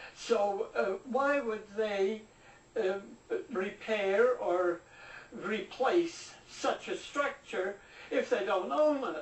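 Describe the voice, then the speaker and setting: Over noticeable background noise, a woman with fairly high pitch speaks at a very slow pace. Her intonation is lively, and she takes long, frequent pauses. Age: 80s+. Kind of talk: interview answer.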